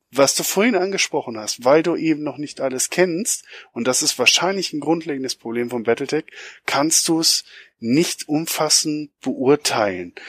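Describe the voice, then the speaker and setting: The man talks with a fairly high pitch and lively intonation in a normal speaking voice. His sound is dry and close, with no echo. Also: moderate pace. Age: 40s. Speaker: podcast co-host. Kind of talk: casual chat.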